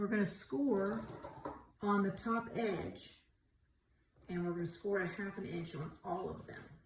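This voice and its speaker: A woman talks at a medium pitch with ordinary pitch variation and a fairly slow pace. Her long, frequent pauses ring out in audible room echo. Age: 60s. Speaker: craft tutorial youtuber. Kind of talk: tutorial. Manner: casual, chatty.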